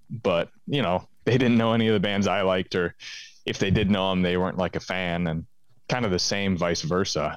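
A man with a very deep, low pitch and fairly even intonation speaks at a fairly quick pace against a quiet background. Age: 20s. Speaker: musician and record label owner. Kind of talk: casual chat. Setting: call.

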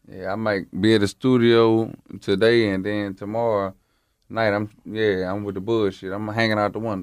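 With monotone, flat intonation, a man speaks at a moderate pace and a fairly low pitch. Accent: strong Louisiana. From Baton Rouge, Louisiana. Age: 20s. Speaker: rapper. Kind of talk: casual interview.

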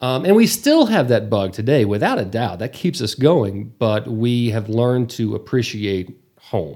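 Medium-pitched man with a Texas accent and a dark, mellow tone, fairly slow yet with hardly any pauses and lively intonation. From Texas Panhandle, Borger. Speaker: travel show host, former news anchor. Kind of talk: casual interview.

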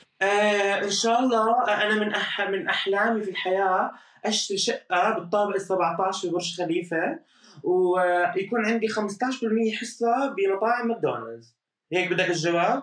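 A man with a high pitch and a Jordanian accent, at a fairly slow pace with very even loudness and ordinary pitch variation. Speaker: social media influencer. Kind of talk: interview. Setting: apartment.

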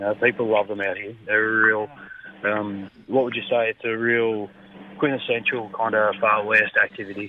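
A man with an Australian accent speaks in a fairly low pitch with monotone, flat intonation. Noticeable background noise is present. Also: moderate pace. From country New South Wales, Australia. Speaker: fisheries officer. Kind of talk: radio interview.

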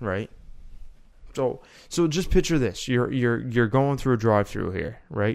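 With a Canadian accent, a man speaks at a medium pitch and moderate pace, his pitch swinging very widely, on a very clean recording with a silent background. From Canada. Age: 20s. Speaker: podcast co-host. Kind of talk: casual chat.

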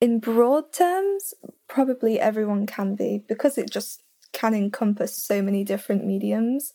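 With an English accent, a woman speaks at a moderate pace in a fairly high pitch, her tone dark and mellow and her pitch variation ordinary. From England. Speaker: graphic design student, podcaster. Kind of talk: casual interview chat.

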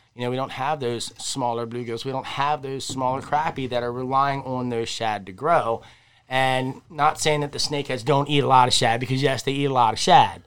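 Medium-pitched male speech at a moderate pace, on a very clean recording with a silent background. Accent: Maryland. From Maryland, Harford County. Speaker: fishing podcast co-host. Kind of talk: casual chat. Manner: animated.

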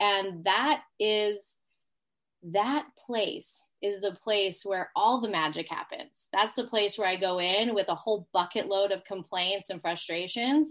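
Speaking fairly slowly in a normal speaking voice, a woman keeps to a medium pitch with ordinary pitch variation. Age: 30s. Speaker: energetic healer and business coach. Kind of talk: casual chat.

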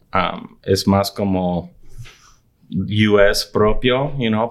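With ordinary pitch variation, a man's voice sits at a fairly low pitch. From Arizona, US (Nogales and Tucson, border region). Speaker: film and TV content executive. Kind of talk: interview. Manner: halting, many repetitions. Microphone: far from the mic at first.

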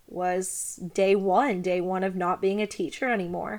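A woman with a Kentucky accent talks at a medium pitch and a fairly slow pace. The recording is very clean with a silent background. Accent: US Southern (Kentucky). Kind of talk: personal monologue.

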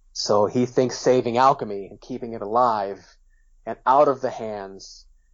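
This man's intonation stays monotone and flat. He keeps to a moderate pace. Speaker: author. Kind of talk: casual chat.

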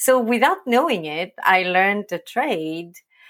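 A woman speaks slowly-ish in a French accent, at a fairly slow pace. Her pitch swings very widely. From France, Provence. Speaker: agency owner. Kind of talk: interview.

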